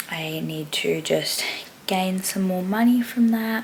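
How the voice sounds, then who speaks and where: With an Australian accent, a woman speaks at a fairly slow pace and medium pitch with fairly even intonation, amid noticeable background noise and audible room echo. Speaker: vlogger and dance teacher. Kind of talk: casual vlog.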